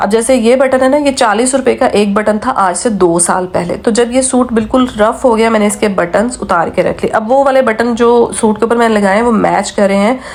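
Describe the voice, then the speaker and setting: Against noticeable background noise, a woman with a fairly high pitch speaks at a moderate pace with ordinary pitch variation, very even loudness and hardly any pauses. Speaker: vlogger. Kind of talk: casual vlog talk.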